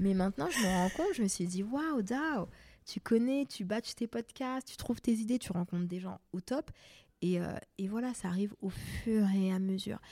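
A woman with a somewhat breathy, dark, mellow tone speaks at a moderate pace and medium pitch with lively intonation, the sound dry and close with no echo on a very clean recording with a silent background. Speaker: makeup artist and podcast host. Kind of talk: casual chat interview.

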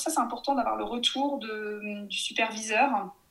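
High-pitched woman's voice with lively intonation. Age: 30s. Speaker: speech therapist. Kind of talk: interview. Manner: hesitant, many fillers.

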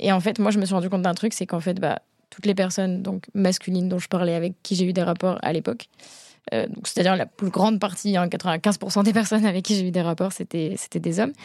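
A woman speaks in an unremarkable speaking voice with fairly even intonation. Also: medium pitch for a woman, fairly quick pace. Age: 20s. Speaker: photographer. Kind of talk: casual chat.

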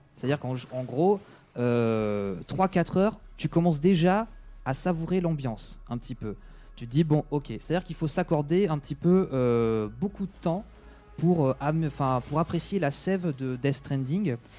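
With music in the background, a man of fairly high pitch talks at a fairly slow pace with lively intonation. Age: 20s. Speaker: video game enthusiast guest. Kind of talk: casual chat.

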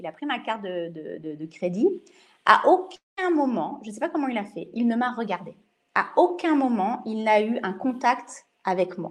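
A woman talks fairly slowly at a fairly high pitch. Her pitch swings very widely and her loudness shifts a lot. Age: 40s. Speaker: hospitality school educator. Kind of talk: interview. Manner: halting.

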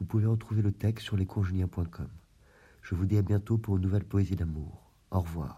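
A man's somewhat breathy voice, dark and mellow in tone, comes through on a very clean recording with a silent background. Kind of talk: poem reading, love poetry read aloud. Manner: slow, measured, formal, reflective; wistful, melancholic, expressive.

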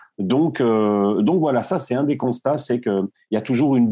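Against a quiet background, a man with a dark, mellow tone speaks at a medium pitch with ordinary pitch variation. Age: 30s. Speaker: plumber and startup founder. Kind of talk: interview. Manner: halting, frequent repetitions.

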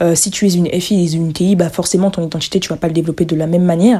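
The speech races along at a very fast pace in a dark, mellow tone, its intonation fairly even. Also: woman. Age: 20s. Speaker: podcast host and entrepreneur. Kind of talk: solo podcast monologue. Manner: hesitant, many fillers.

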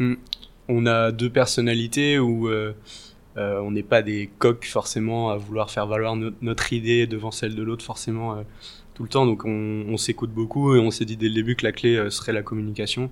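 A man's medium-pitched voice, monotone with flat intonation, at a moderate pace. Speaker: videographer. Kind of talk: interview.

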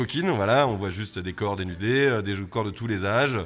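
A man speaks at a fairly quick pace. His pitch is fairly low, with ordinary variation. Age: 40s. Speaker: bar owner. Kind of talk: interview. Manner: halting, many repetitions.

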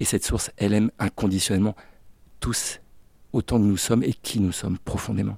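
The voice has a dark, mellow tone and fairly even intonation at a fairly quick pace. Long pauses come often. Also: man, fairly low pitch for a man. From Brittany, France (Finistère, Brest). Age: 50s. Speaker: therapist, former business owner. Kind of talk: interview testimony. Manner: hesitant, many fillers.

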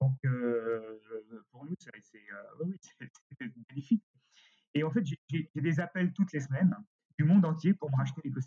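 Dry and close with no echo, a man's somewhat breathy, dark, mellow voice, fairly high in pitch, moves at a very slow pace with big swings in loudness. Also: lively intonation. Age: 60s. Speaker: costume rental company director. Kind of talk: interview. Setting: remote recording.

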